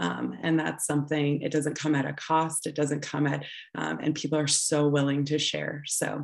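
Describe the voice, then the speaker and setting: The voice carries vocal fry. It moves at a moderate pace. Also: woman. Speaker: assessment director. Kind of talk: panel discussion.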